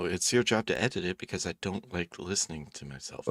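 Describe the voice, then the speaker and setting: A quiet man with a very deep, low voice speaks fairly quickly with ordinary pitch variation. Noticeable background noise is present. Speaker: video channel creator, podcast co-host. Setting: home recording, microphone. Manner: quiet, speaking close to the microphone.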